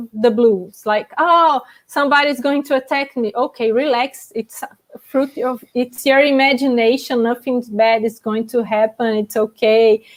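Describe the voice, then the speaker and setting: A woman speaks in a non-native accent at a high pitch. She talks fairly slowly with ordinary pitch variation. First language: not English. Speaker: panelist on out-of-body experiences. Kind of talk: panel discussion. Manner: halting.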